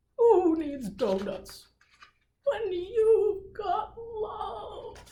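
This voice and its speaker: A woman's put-on character voice, extremely high in pitch and very slow. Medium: read story.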